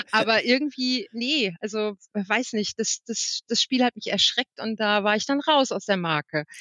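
With hardly any pauses, a woman with a fairly high pitch speaks at a fairly slow pace and with lively intonation. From western Germany, Wipperfürth (Bergisches Land). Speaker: games journalist and editor. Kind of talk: casual chat. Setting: walking outdoors while talking. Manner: halting.

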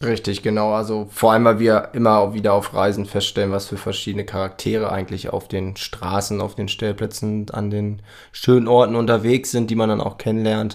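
A man talks at a fairly quick pace with hardly any pauses, his pitch fairly low and his intonation monotone and flat. The recording is very clean, with a silent background. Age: 30s. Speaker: podcast co-host, van traveller. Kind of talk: casual chat.

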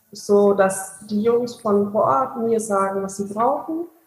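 A woman's medium-pitched voice with lively intonation, a normal speaking voice. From Bavaria, near Augsburg. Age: 20s. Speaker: charity founder. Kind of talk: interview.

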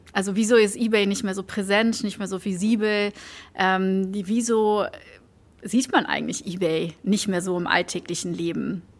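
This is a normal speaking voice at a moderate pace with fairly even intonation. The recording is very clean, with a silent background. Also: woman, medium pitch for a woman. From Belgium, village near Antwerp. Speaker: marketing executive. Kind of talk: casual interview. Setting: office.

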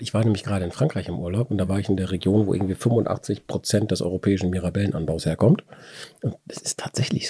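At a very fast pace, a man speaks in a fairly low, somewhat breathy voice with a dark, mellow tone and ordinary pitch variation, dry and close with no echo. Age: 40s. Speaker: wine podcast host. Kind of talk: casual chat.

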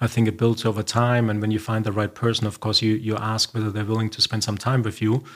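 At a fairly quick pace, a man with a German accent speaks in a fairly low, monotone, flat voice. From Germany, Bavaria. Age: 50s. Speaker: company CEO. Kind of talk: interview. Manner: soft-spoken.

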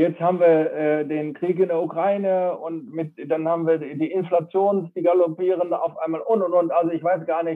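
The man's voice sits high in pitch. He keeps to a medium speed. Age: 60s. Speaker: company founder handing over to daughter. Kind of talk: interview. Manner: halting, many fillers.

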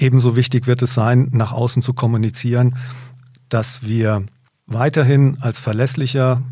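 In a very clean recording with a silent background, the voice is dark, mellow and somewhat breathy, moving at a moderate pace with fairly even intonation. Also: man. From northern Hesse, Germany. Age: 50s. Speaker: company managing director. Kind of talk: business interview.

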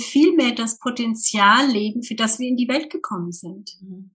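A woman's high voice in a Franconian accent, with ordinary pitch variation, a moderate pace and noticeable background noise. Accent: Franconian, rolled R. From Germany, Lower Franconia. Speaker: communication trainer. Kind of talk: interview.

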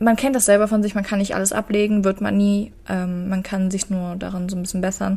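Speaking at a fairly quick pace with hardly any pauses, a woman uses a medium-pitched, somewhat breathy voice, dark and mellow in tone, with monotone, flat intonation. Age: 20s. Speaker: podcast co-host. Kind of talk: casual chat.

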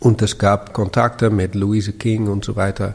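Somewhat breathy and fairly low, a man talks at a fairly slow pace with a Dutch accent. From Netherlands, Amsterdam. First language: Dutch (speaking German). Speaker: architect and urban planner. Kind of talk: interview. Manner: halting, many fillers.

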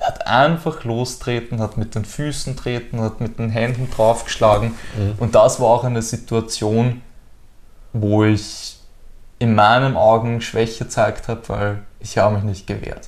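At a fairly slow pace, a man with an ordinary speaking voice talks at medium pitch with fairly even intonation. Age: 20s. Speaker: former driving instructor and cycling world traveler. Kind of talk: personal interview.

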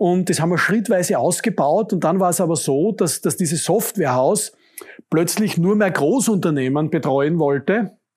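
Here a man speaks in a high voice at a moderate pace. His pitch varies in an ordinary way. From Austria, Upper Styria (Judenburg). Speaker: construction company executive. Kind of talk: interview. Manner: repetitive false starts.

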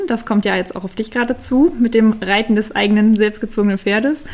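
A woman with an ordinary speaking voice talks at a medium pitch, her intonation fairly even. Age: 30s. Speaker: riding instructor. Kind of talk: interview.

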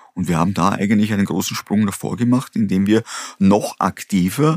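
A man with an ordinary speaking voice talks at a fairly low pitch and a moderate pace. His ordinary pitch variation comes through with a dry, close sound with no echo. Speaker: company founder and CEO. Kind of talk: interview.

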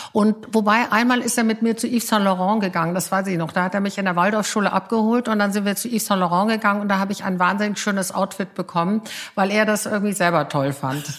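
At a very fast pace with hardly any pauses, a woman speaks at a medium pitch with fairly even intonation. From Bavaria, Munich. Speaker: PR agency founder. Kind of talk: casual interview. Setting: at home.

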